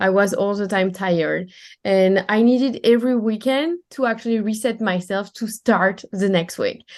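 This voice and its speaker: A woman with a strong French accent speaks at a moderate pace and fairly high pitch with ordinary pitch variation against a quiet background. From France. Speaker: time management coach. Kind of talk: podcast interview.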